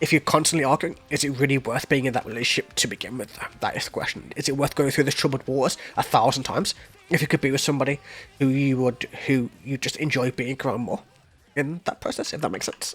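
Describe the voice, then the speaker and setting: Over noticeable background noise, a man with a fairly high pitch talks very fast in an animated tone. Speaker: music reaction YouTuber. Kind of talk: music reaction commentary. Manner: casual, animated.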